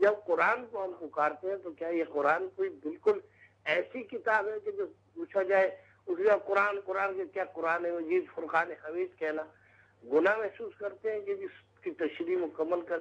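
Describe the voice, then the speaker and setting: With ordinary pitch variation, a man speaks in a high pitch. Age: 60s. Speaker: caller. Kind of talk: call-in question.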